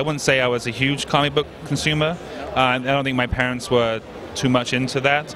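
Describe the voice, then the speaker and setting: With noticeable background noise behind him, a man speaks at a fairly quick pace with a medium pitch and fairly even intonation. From southern England. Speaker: interviewer. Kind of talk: interview.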